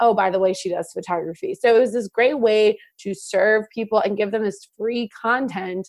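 A woman with a slight Midwestern US accent talks at a medium pitch, her pitch varying in an ordinary way against a quiet background. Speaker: wedding photographer and business mentor. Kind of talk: casual interview chat.

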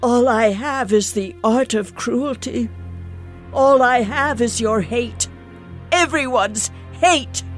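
Clear music plays behind a put-on character voice that moves at a fairly slow pace with long, frequent pauses. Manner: bitter then sorrowful.

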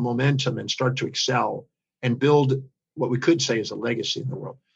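The voice belongs to a man with a fairly high pitch. It sounds somewhat breathy and moves at a fairly quick pace. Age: 60s. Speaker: speaker and educator. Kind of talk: podcast interview.

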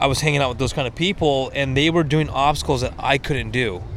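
Ordinary pitch variation and a fairly quick pace, with noticeable background noise behind. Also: man. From Washington State. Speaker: off-road enthusiast. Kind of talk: casual chat. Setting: outdoors.

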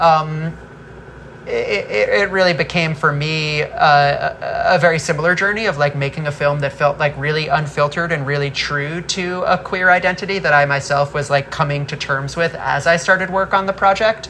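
A woman talks at a moderate pace with a very deep, low pitch and fairly even intonation. Noticeable background noise runs under her voice. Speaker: film director. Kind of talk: interview.

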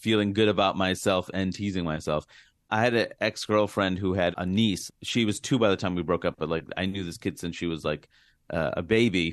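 This man has a very deep, low voice and an American accent. He speaks at a moderate pace with fairly even intonation against a quiet background. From US, Queens, New York. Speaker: comedian. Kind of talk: interview.

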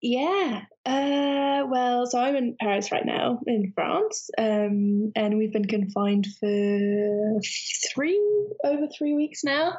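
With a British accent, a woman talks at a very slow pace and a high pitch, her loudness very even and her intonation lively, over noticeable background noise. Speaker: interviewee. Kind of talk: casual chat. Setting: phone call. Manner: halting.

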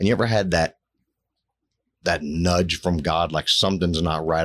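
A man's very deep, low voice at a moderate pace, with ordinary pitch variation. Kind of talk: testimony. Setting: studio. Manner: emotional, halting.

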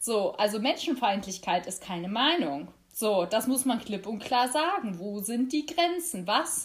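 A woman speaks at a fairly slow pace in a somewhat breathy voice. Her fairly high pitch makes very wide swings. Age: 20s. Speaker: youth party chair and lawyer. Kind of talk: interview.

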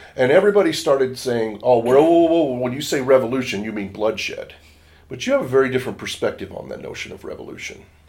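Over noticeable background noise, a man with an American accent talks at a very fast pace, his loudness swinging widely. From Washington State, US. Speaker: nonprofit board chair and communications strategist. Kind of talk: interview.

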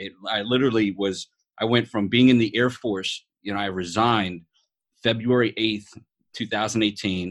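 A man with a New York accent, fairly low in pitch, at a moderate pace with fairly even intonation. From New York City. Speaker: podcast host, veteran, motivational speaker. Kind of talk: casual chat.

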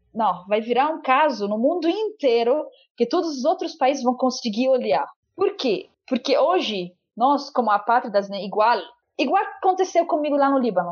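Pitch swings very widely in this voice with an Arabic accent. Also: woman, high pitch for a woman, moderate pace. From Lebanon. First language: Arabic (speaking Portuguese). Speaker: stateless rights activist. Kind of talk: testimony. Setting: remote call.

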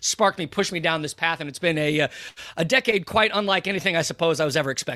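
Bright and sharp in tone, the voice moves at a very fast pace with an American accent and ordinary pitch variation. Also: man. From United States. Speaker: journalist and author.

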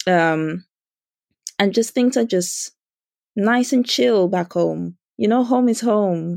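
A woman speaks very slowly with long, frequent pauses. Her intonation is lively and her loudness very even. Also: medium pitch for a woman. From Dominica. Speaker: charity founder. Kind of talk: interview.

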